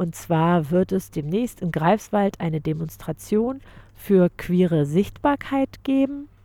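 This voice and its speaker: A woman speaks at a very slow pace in a dark, mellow tone, her pitch swinging very widely. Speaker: community radio host. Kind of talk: radio interview.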